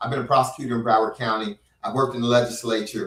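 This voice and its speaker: A man with an American accent talks very fast at a medium pitch. His tone is bright and sharp, with fairly even intonation. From Miami, South Florida. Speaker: local politician. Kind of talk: casual interview chat.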